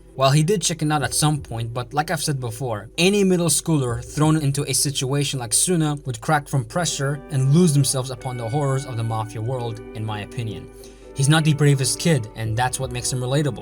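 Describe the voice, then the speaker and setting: Music in the background behind a man's medium-pitched voice, fairly quick in pace, with ordinary pitch variation. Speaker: anime analysis youtuber. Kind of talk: video essay narration.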